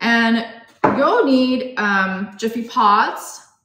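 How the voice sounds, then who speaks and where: A woman's voice, with ordinary pitch variation, comes through audible room echo while music plays in the background. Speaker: guest. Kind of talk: tutorial. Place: home room. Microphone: phone near.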